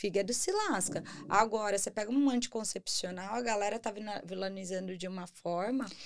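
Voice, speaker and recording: A woman with a plain, everyday voice, medium pitch, ordinary pitch variation, a fairly quick pace and hardly any pauses. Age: 30s. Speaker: podcast host. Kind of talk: casual interview.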